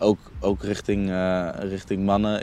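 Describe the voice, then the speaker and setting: A dark, mellow tone moves at a fairly slow pace. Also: man. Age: 20s. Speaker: youth worker. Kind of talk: casual conversation. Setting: outdoors, walking through the city. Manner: halting.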